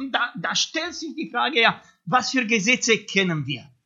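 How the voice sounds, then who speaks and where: The delivery moves at a fairly slow pace. A non-native accent is audible. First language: not German (speaking German). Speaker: preacher. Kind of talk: sermon. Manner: hesitant, many fillers.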